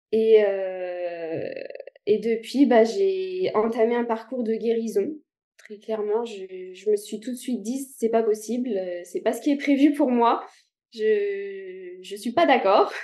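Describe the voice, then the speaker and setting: Her voice is fairly high for a woman, with a dark, mellow tone and ordinary pitch variation. She speaks at a very slow pace, with big swings in loudness. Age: 30s. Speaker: guest sharing illness story. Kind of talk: interview testimony. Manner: halting, many hesitations.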